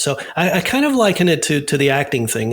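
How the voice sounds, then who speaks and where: At a fairly quick pace, a man with an American accent speaks in a relaxed, somewhat breathy tone. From US South. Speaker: safety diver and actor. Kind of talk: casual interview. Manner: relaxed, halting with repeated words.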